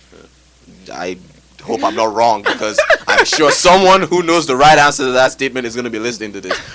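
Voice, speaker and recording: Speaking at a very fast pace with lively intonation, a man makes long, frequent pauses, his loudness swinging widely over noticeable background noise. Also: medium pitch for a man. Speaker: guest speaker on addiction. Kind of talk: casual chat.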